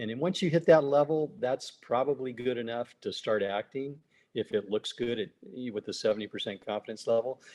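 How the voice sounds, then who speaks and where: An unremarkable speaking voice from a man, medium in pitch with ordinary pitch variation and a fairly quick pace, dry and close with no echo. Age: 60s. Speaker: business consultant. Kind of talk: interview.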